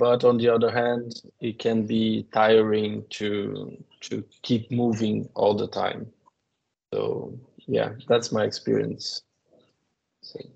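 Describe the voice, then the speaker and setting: In a Portuguese accent, a man speaks at a very slow pace with long, frequent pauses. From Brazil. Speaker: postdoctoral researcher. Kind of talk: testimony. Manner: halting.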